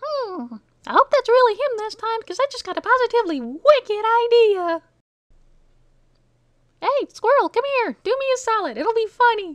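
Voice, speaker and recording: This cartoonish character voice is squeaky and pitched extremely high. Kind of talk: cartoon voice acting. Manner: chipper, wisecracking.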